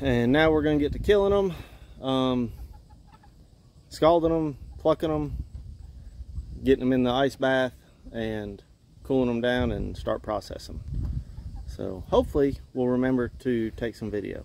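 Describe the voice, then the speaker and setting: A man talks at a moderate pace with ordinary pitch variation and long, frequent pauses. The sound is dry with no echo, over light background noise. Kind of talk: casual vlog chat. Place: farm machine. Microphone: phone near.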